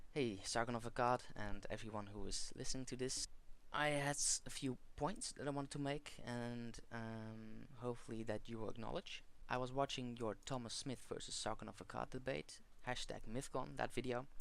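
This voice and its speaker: Speaking at a moderate pace, the speaker has a non-native accent. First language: not English. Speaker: video commentator. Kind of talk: monologue response video. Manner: halting, many fillers.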